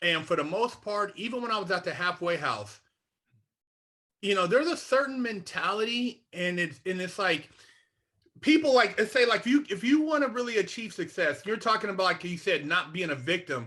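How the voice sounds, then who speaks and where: A man's raised, projected voice with an American accent, a bright, sharp tone, very wide pitch swings and a moderate pace. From Sacramento, Northern California. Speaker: former inmate, mentor. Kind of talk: interview. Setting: video call. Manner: blunt, straight-talking.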